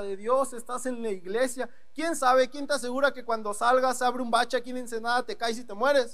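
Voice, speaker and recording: A man talks at a fairly quick pace in an extremely high voice, with an animated tone and hardly any pauses. Audible room echo surrounds him. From northeastern Mexico, Ciudad Victoria, Tamaulipas. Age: 20s. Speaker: young preacher. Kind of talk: sermon. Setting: church with congregation.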